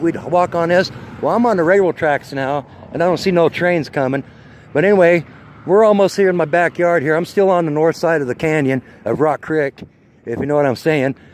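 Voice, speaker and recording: This man talks at a fairly quick pace in an American accent, his pitch high for a man. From Idaho, US (Twin Falls). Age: 50s. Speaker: vlogger. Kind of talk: casual walking vlog monologue. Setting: outdoors, walking by the street. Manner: rambling, casual, coarse.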